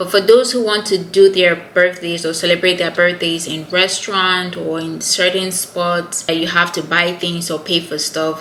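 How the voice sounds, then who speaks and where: A woman's fairly low, monotone voice with a Nigerian accent at a moderate pace, with noticeable background noise. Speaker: YouTuber. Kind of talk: casual chat.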